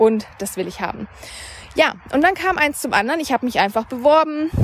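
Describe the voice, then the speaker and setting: Noticeable background noise sits under a woman whose lively intonation comes at a fairly quick pace. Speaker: podcast host and mindset coach. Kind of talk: solo monologue podcast, storytelling. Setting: outdoors, walking by a river.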